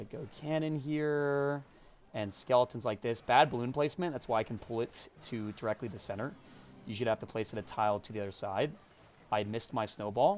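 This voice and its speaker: Music plays in the background. The pace is fairly quick, with ordinary pitch variation. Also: man, medium pitch for a man. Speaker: gaming streamer. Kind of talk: live game commentary stream. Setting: live stream. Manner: animated.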